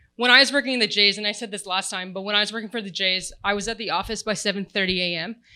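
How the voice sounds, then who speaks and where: Loud and very fast, the voice has a bright, sharp tone in a very clean recording with a silent background. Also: woman. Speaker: sports tech panelist. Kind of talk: panel discussion. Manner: animated.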